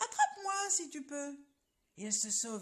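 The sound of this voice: The voice heard here reads in an unforced way.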